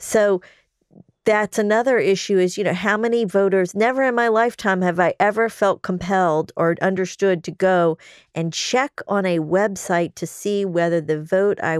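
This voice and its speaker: A woman with an ordinary speaking voice and a medium pitch speaks at a moderate pace with ordinary pitch variation, in a very clean, dry, close recording with a silent background and no echo. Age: 50s. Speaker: trial attorney and podcast host. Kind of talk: casual legal discussion.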